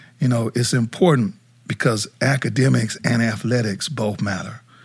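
An American accent from a man, somewhat breathy, at medium pitch with ordinary pitch variation and a moderate pace. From South Dakota, US. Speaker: nonprofit CEO and former college football player. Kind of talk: casual interview chat.

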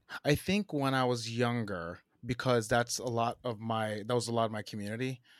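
With an American accent and a plain, everyday voice, a man talks at a moderate pace and medium pitch on a very clean recording with a silent background. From New Jersey. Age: 40s. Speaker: creative executive and designer. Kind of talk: casual interview chat.

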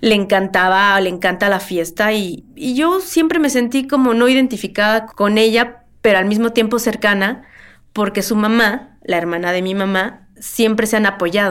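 A woman with a normal speaking voice talks at a moderate pace with ordinary pitch variation. The recording is very clean, with a silent background. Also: fairly high pitch for a woman. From Mexico City. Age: 40s. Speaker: museum worker, relative of a missing person. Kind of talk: interview testimony.

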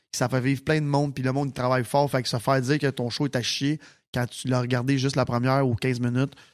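A man's medium-pitched, monotone, flat delivery at a very fast pace, on a very clean recording with a silent background. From Quebec, Sainte-Martine. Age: 30s. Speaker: nightclub owner and entrepreneur. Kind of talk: casual chat.

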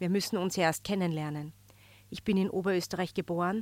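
A woman with an ordinary speaking voice talks at a moderate pace, medium pitch and ordinary pitch variation. The recording is very clean, with a silent background. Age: 30s. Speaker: magazine editor-in-chief. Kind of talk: scripted narration. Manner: formal.

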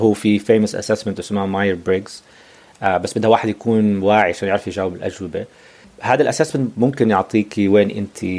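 Fairly even in intonation, a man talks at a fairly quick pace. His pitch sits fairly low. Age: 40s. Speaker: life coach. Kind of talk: casual interview. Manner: code-switching Arabic and English; halting.

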